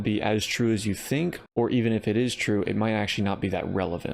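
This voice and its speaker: Speaking at a fairly quick pace, a man keeps a medium pitch that varies in an ordinary way. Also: quiet background. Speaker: YouTuber. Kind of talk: casual explanatory monologue. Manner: fast.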